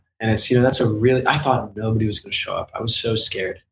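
A man talks in a somewhat breathy voice. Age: 20s. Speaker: artist and NFT project founder. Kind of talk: interview. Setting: video call. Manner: halting.

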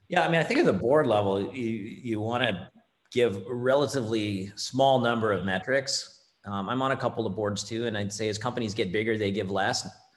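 Using a normal speaking voice, a man with a Canadian accent talks at medium pitch. His pace is fairly quick, with ordinary pitch variation. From Canada, Ontario. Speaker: finance executive. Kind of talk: interview.

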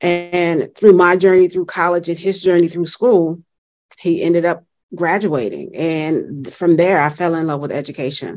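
In a Southern US accent, a woman with fairly low pitch talks at a moderate pace with fairly even intonation. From US South. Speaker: education consultant and author. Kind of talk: interview conversation.

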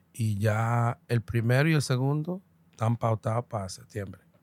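In a very clean recording with a silent background, a man speaks at a fairly slow pace, with medium pitch and ordinary pitch variation. The sound is dry and close, with no echo. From New York, Dominican-American. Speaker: comedian. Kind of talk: casual chat. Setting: studio. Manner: animated.

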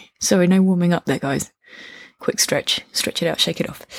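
Speaking at a fairly quick pace, a woman with a fairly low pitch and a somewhat breathy voice sounds animated, with ordinary pitch variation and a dry, close sound that has no echo. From UK. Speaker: podcast host, workshop teacher. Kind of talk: casual monologue. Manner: animated, laughs often.

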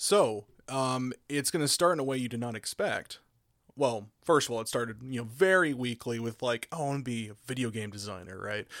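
A man speaks in an ordinary speaking voice with an American accent, a medium pitch, ordinary pitch variation and a moderate pace, on a very clean recording with a silent background. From Oklahoma. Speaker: audio engineer and voice actor. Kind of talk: interview.

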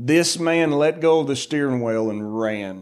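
Very slowly, a man with a fairly high voice swings his pitch very widely. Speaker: preacher. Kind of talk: sermon. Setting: church. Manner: loud; animated.

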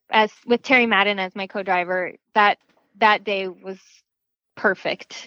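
A woman speaks slowly-ish, at a fairly slow pace, in an American accent. Her pitch is fairly high, and the background is quiet. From Arizona, US. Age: 20s. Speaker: off-road racer. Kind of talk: casual interview.

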